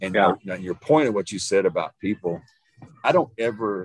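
The speaker has an East Texas accent. The sound is dry and close, with no echo. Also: man. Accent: East Texas Southern US. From Northeast Texas, small town. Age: 50s. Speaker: nutrition and fitness coach. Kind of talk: casual chat.

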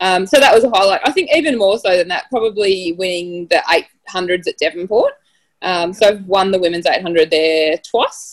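Her pitch sits in the middle range, with ordinary variation. The woman keeps to a moderate pace. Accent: Australian. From Australia, Tasmania. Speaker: dentist and runner. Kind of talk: casual interview.

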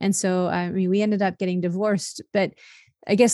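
A woman has an ordinary speaking voice with a medium pitch and fairly even intonation. The recording is very clean, with a silent background. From Italian-American family. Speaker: happiness coach and author. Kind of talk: interview testimony.

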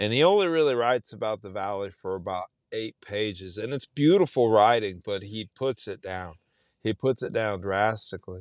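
A man with a South Texas accent, fairly low in pitch, at a moderate pace with ordinary pitch variation, in a dry, close sound with no echo and a quiet background. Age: 40s. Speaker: novelist. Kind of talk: casual chat.

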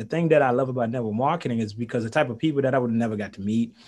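A man's lively intonation comes through over a quiet background. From Haiti. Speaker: business coach and network marketer. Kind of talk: interview. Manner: animated.

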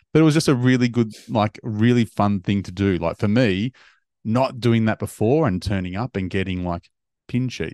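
At a moderate pace, a man with an Australian accent talks in a fairly low pitch with ordinary pitch variation and a dark, mellow tone, recorded over a quiet background with a dry, close sound and no echo. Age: 40s. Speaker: golf podcast host. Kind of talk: casual chat.

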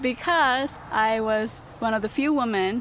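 A woman speaks very slowly with a Japanese accent. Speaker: social justice advocate. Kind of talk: interview.

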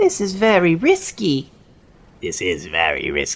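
The speech moves along at a moderate pace. It is delivered in a put-on character voice. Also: man. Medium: actual play. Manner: hesitant, stammering.

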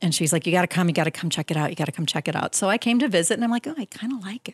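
A somewhat breathy woman with an Upper Midwest accent and very wide pitch swings, in a very clean, dry, close recording with a silent background and no echo. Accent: Upper Midwest American. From southeastern Wisconsin. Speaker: tourism bureau staff. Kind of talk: radio interview. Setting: radio studio.

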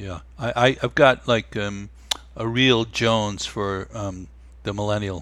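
This man has a plain, everyday voice with a fairly low pitch. He speaks at a fairly slow pace. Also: fairly even intonation. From New York. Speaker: meditation teacher and musician. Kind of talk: casual interview.

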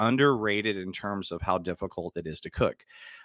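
A man with a Texan accent speaks fairly quickly at a fairly low pitch, recorded very cleanly with a silent background and a dry, close sound with no echo. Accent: Texan American. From Dallas, Texas. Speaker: podcast host and actor. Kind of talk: casual solo podcast talk.

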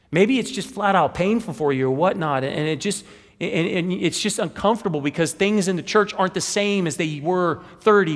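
At a fairly quick pace, a man with an American accent speaks in a high pitch with lively intonation. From Wichita, Kansas. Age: 40s. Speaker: pastor. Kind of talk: sermon. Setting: church.

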